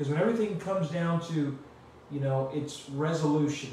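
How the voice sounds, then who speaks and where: There is light background noise behind a man speaking. The room echo is audible. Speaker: pastor. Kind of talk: sermon. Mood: calm, earnest. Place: home room.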